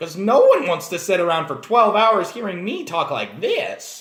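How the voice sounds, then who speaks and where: A man puts on a character voice pitched high. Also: moderate pace. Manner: squeaky, exaggerated.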